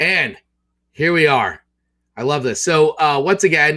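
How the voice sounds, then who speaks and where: Fairly high for a man, this voice has an enthusiastic tone that is bright and sharp. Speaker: podcast host. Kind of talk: casual interview hosting.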